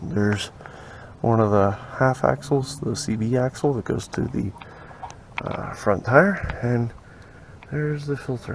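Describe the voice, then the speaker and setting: A man's medium-pitched voice with lively intonation and a moderate pace amid noticeable background noise. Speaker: DIY car mechanic youtuber. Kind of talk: casual tutorial. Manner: casual, animated.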